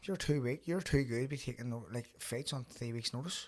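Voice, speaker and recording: Very fast speech in a Belfast accent on a very clean recording with a silent background. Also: man. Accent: Belfast Northern Irish. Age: 30s. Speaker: podcast host and professional boxer. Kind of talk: casual chat. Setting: studio.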